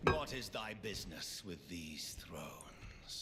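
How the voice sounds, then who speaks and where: A man puts on a character voice with a fairly low pitch and a fairly slow pace, with loud background noise behind him. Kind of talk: archaic epic villain speech. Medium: game stream. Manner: scornful, solemn.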